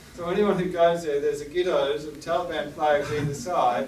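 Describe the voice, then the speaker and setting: A moderate pace in an Australian accent, with audible room echo and noticeable background noise. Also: man. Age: 70s. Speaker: war artist. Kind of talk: gallery talk.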